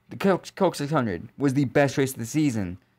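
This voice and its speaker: A man's fairly high-pitched voice in a very clean recording with a silent background. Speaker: YouTuber, motorsport commentator. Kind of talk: casual video commentary. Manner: halting, repeated words.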